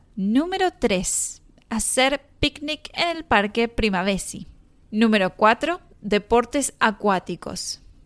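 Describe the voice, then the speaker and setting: Speaking in a Rioplatense accent, a woman talks at a very slow pace with a fairly high pitch. Her pitch swings very widely, and the sound is dry and close with no echo. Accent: Argentine Rioplatense Spanish. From Argentina, Mar del Plata. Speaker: Spanish teacher, podcast host. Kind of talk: scripted language-lesson narration. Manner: clear, measured for learners.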